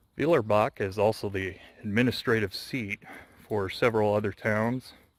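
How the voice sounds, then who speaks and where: Here is a man with a plain, everyday voice and an American accent, his intonation fairly even. The recording is very clean, with a silent background. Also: fairly low pitch for a man, moderate pace. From US West, Las Vegas. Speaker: vlogger. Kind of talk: walking vlog narration. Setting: outdoors walking.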